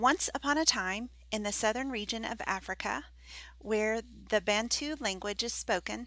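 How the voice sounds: Delivered in a natural reading voice, the speech has ordinary pitch variation.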